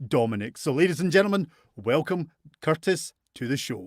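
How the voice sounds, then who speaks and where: A man with a Scottish accent, a fairly high pitch and very wide pitch swings at a moderate pace. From Scotland. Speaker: talk show host. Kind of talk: casual chat. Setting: live stream.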